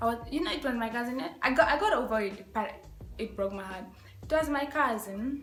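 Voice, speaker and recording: A woman's high, animated voice at a fairly quick pace, with ordinary pitch variation and audible room echo. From Africa. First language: African local language. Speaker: YouTuber. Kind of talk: casual vlog tag video.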